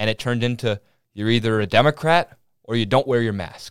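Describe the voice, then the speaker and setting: A man with a normal speaking voice and an American accent, ordinary pitch variation, dry, close sound with no echo, and a very clean recording with a silent background. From Minnesota, small town. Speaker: podcast host, college student. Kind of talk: casual political discussion; opinion monologue.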